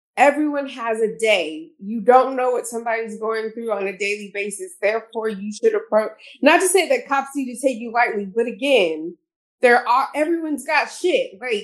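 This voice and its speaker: A woman's plain, everyday voice with an American accent, fairly high pitch, lively intonation, moderate pace, very clean recording, silent background. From Houston, Texas. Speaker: podcast host. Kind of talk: casual chat.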